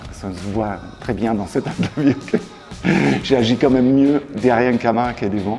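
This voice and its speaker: Music plays behind a man speaking at medium pitch and a moderate pace. He leaves long, frequent pauses. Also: ordinary pitch variation. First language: German (speaking French). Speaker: creative director. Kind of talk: interview. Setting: studio. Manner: halting, frequent hesitations.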